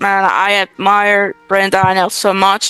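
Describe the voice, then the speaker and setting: A woman with a Spanish accent speaks at a fairly slow pace and a medium pitch, her sound dry and close with no echo. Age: 20s. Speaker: real estate wholesaler. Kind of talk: interview.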